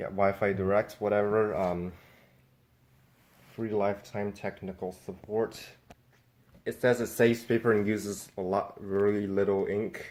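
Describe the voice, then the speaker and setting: Pausing long and often, a man speaks fairly slowly at a fairly low pitch with monotone, flat intonation. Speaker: YouTuber doing a product unboxing. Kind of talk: unboxing video. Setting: home office. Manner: hesitant, many fillers; casual.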